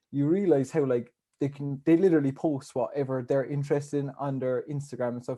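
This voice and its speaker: In a Cork accent, a dark, mellow voice moves at a fairly quick pace with fairly even intonation over a quiet background. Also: man. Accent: Irish, Cork. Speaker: podcast co-host. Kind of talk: casual chat.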